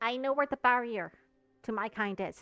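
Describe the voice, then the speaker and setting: A woman does a put-on character voice at a fairly high pitch and a moderate pace. Faint music plays in the background. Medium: actual play. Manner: reluctant, terse.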